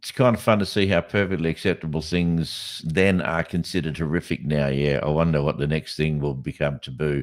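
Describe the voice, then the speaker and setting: With hardly any pauses, a man with a very deep, low pitch speaks at a fairly quick pace and ordinary pitch variation against noticeable background noise. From Western Australia (Kimberley, Broome). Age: 60s. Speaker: podcast host. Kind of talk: casual chat. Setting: live podcast. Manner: halting, with many fillers and restarts.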